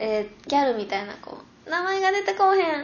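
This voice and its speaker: A woman speaks in a high voice, her pitch swinging very widely up and down. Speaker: podcast host. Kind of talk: casual chat.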